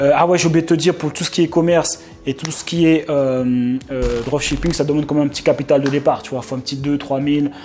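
With music in the background, a man talks at a moderate pace and a fairly high pitch. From France, Paris suburbs (Essonne). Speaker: online business coach / YouTuber. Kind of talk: casual vlog talk to camera, sales pitch. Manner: animated, repetitive filler-heavy. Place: home room. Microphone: lapel.

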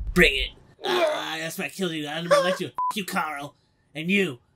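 Putting on a whiny character voice, a man speaks at a fairly quick pace with a high pitch and fairly even intonation. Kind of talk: comic overacting. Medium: fan dub. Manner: petty, whiny, pleading.

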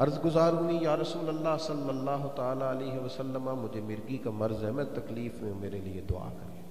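Audible room echo and light background noise surround a man speaking with ordinary pitch variation. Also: fairly slow pace. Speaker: religious preacher. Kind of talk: sermon. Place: hall. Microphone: handheld.

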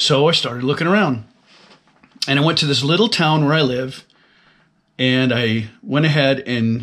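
A man speaks against a quiet background. His pitch varies in an ordinary way. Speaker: fitness vlogger. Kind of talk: casual vlog chat. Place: office. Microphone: webcam.

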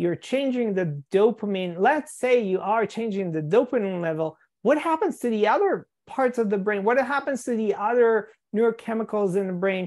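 At a moderate pace and a fairly high pitch, a woman speaks in a plain, everyday voice over a quiet background. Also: lively intonation. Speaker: EMDR therapist and podcast host. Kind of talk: interview conversation. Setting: live video call. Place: home room. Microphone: video call.

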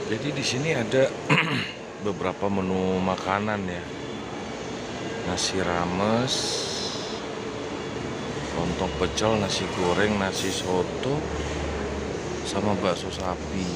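Over loud background noise, a man speaks at a very slow pace with ordinary pitch variation, and the sound is dry with no echo. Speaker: bus travel vlogger. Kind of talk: casual vlog chat. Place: hall. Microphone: phone near.

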